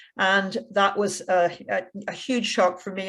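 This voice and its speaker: The recording is very clean, with a silent background. A woman speaks at a medium pitch in a monotone, flat intonation. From Belfast, Northern Ireland (ages 0-12 in Canada). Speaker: peace activist. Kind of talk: personal testimony talk at seminar.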